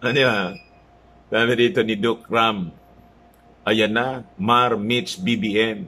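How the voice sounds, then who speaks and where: With long, frequent pauses and ordinary pitch variation, the speech moves at a very slow pace. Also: man. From Philippines. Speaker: political vlogger. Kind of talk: news commentary. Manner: casual, halting with fillers. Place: home room. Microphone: phone near.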